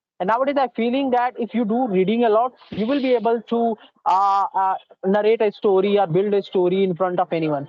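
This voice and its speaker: The speaker has an Indian accent and talks at a fairly quick pace. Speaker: English learner. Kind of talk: spoken English practice interview. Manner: fast.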